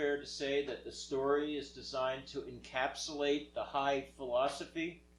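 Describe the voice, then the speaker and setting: A man talks in a fairly high voice with monotone, flat intonation. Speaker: moderator relaying questions. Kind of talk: Q&A session. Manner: loud.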